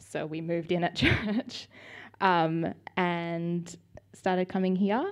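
A woman with an Australian accent speaks at a very slow pace, with long, frequent pauses. Her pitch is fairly low and her intonation fairly even. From Australia, Sydney. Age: 20s. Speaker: church member giving testimony. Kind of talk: testimony interview. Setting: church service.

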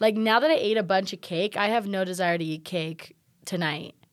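In a very clean recording with a silent background, a woman uses a normal speaking voice at medium pitch with ordinary pitch variation. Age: 20s. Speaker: podcast co-host. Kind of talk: casual chat.

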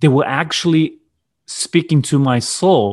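A man with a Brazilian accent speaks in a fairly high voice. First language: Portuguese. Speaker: business coach and entrepreneur. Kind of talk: casual interview. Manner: halting, many fillers and repeats.

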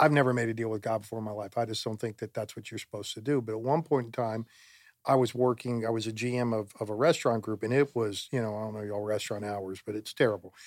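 In a very clean recording with a silent background, a man with an American accent talks very fast at a medium pitch. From Florida. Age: 50s. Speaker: church volunteer and father. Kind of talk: casual chat.

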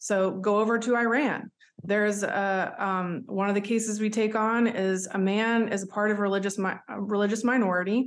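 A woman with a Southern US accent speaks at a medium pitch. Her intonation stays flat and monotone against a quiet background. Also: moderate pace. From US South. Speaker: human rights advocate. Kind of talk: interview.

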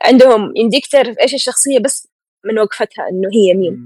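At a moderate pace, a woman speaks with lively intonation in a dry, close sound with no echo. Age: 20s. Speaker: illustrator. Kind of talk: casual chat.

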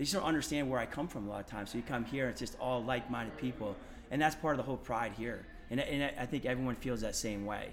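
A man's medium-pitched voice at a very fast pace, with ordinary pitch variation and audible room echo. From Maine, US. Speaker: elementary physical education teacher. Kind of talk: casual interview. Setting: at a conference.

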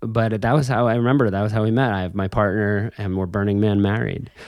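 A man with a plain, everyday voice, fairly low in pitch and fairly even in intonation. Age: 30s. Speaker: podcast host. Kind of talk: casual chat; scripted narration.

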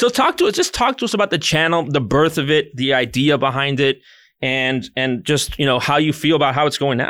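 Recorded very cleanly against a silent background, this man's voice sits fairly high in pitch, bright and sharp in tone, with ordinary pitch variation and very even loudness. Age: 30s. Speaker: podcast co-host. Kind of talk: casual chat. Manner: animated.

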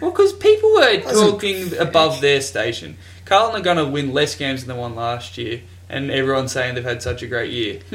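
Amid noticeable background noise, a man with an Australian accent talks at a fairly quick pace with very wide pitch swings. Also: fairly high pitch for a man. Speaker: podcast host. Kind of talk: casual, banter-heavy sports talk.

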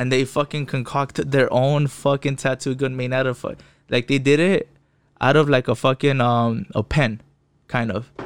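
Over a very clean, silent background with dry, close sound and no echo, a man with a Spanish accent speaks at a moderate pace with medium pitch and fairly even intonation. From Inland Empire, Southern California (Fontana). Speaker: podcast guest. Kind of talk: casual chat.

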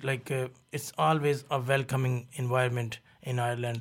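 The voice is somewhat breathy and moves at a fairly quick pace. The recording is very clean, with a silent background. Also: man. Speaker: restaurant owner. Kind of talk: casual chat.

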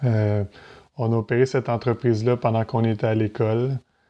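Speaking at medium pitch, a man keeps his intonation monotone and flat. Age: 30s. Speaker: entrepreneur and real estate investor. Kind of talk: podcast interview.

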